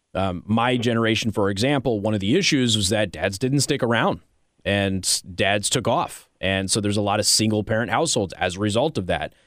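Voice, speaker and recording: A man with an American accent and an ordinary speaking voice talks at a fairly quick pace. His pitch is fairly low and his loudness very even. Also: ordinary pitch variation. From Las Vegas, Nevada. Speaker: conservative talk radio host. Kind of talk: talk radio monologue and call-in. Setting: radio studio.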